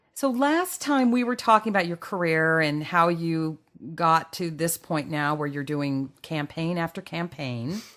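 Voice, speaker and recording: In a very clean recording with a silent background, a woman with a plain, everyday voice speaks at a fairly slow pace in a fairly low pitch, her intonation lively. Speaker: podcast interviewer. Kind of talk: interviewer questions.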